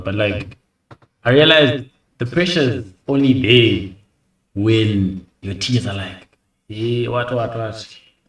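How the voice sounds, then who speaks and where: Amid audible room echo, a man speaks very slowly in a somewhat breathy voice. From Zimbabwe. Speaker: YouTube reactor. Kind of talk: reaction video commentary. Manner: casual.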